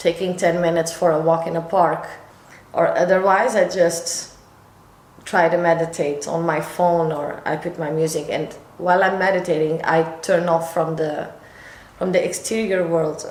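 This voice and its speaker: With audible room echo and noticeable background noise, a woman speaks at a fairly low pitch in a monotone, flat intonation. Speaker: lifestyle vlogger. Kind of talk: casual vlog talk to camera. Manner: slightly halting, self-correcting.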